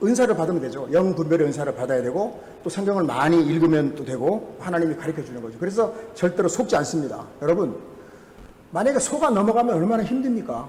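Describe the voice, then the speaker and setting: A man talks at a very fast pace with high pitch and very wide pitch swings. Noticeable background noise and audible room echo surround him. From Jeju, South Korea. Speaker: pastor. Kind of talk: sermon. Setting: church.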